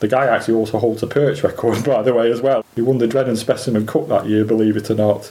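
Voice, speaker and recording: Speaking very fast with hardly any pauses, a man with a Lancashire accent keeps a monotone, flat intonation and very even loudness at medium pitch, his tone dark and mellow. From Lancashire, England (Preston). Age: 50s. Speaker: specimen angler. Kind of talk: interview.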